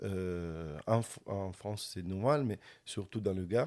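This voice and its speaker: Very slow and fairly low, a man's voice carries a dark, mellow tone and ordinary pitch variation. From Sicily. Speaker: organic winegrower. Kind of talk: interview answer. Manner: precise narration.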